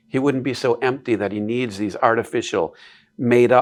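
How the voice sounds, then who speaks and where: A man's voice, a normal speaking voice, with an American accent, medium pitch, fairly even intonation and a moderate pace against a quiet background. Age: 60s. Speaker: classical education advocate. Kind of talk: interview conversation.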